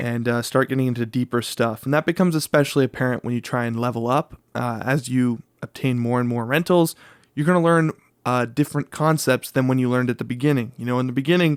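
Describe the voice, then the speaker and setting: Speaking at a very fast pace, a man with a medium pitch and fairly even intonation is captured in a very clean, dry, close recording with a silent background and no echo. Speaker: real estate broker and YouTuber. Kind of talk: casual explainer video. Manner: filler-heavy, lots of uh.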